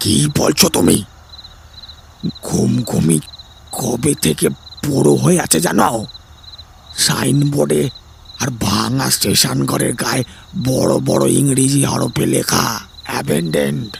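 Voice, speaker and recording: A man puts on a raspy character voice at a very deep, low pitch, with very wide pitch swings. He speaks very slowly over clear background noise. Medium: audio drama. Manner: gentle, fatherly, calls listener 'beta'.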